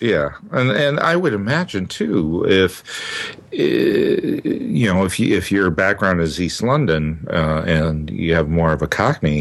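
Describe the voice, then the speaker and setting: At a fairly slow pace and very even loudness, a man speaks in a Minnesota accent over noticeable background noise. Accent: Midwestern, Minnesota American. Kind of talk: casual chat. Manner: hesitant, many fillers.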